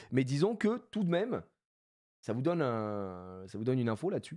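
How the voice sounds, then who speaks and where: A man talks in an animated tone with very wide pitch swings. His pace is moderate, and the background is quiet. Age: 30s. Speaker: streamer, card collector; streamer. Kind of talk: live stream chat. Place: home room. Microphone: studio mic.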